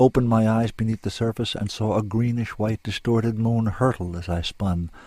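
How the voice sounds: What you hear is a natural reading voice.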